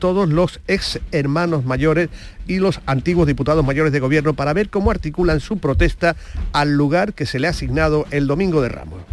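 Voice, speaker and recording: A plain, everyday voice from a man, fairly high in pitch, with ordinary pitch variation and a fairly quick pace. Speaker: radio host. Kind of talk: radio show presenting. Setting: radio studio.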